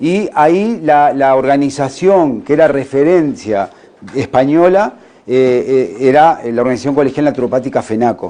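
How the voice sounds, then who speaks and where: A man with a Uruguayan accent, very even in loudness, with ordinary pitch variation. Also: fairly high pitch for a man, moderate pace. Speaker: naturopath. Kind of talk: conference talk. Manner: halting.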